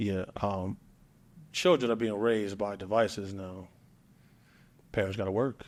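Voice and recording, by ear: The speech moves at a slow pace. Its intonation is fairly even. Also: man, fairly low pitch for a man.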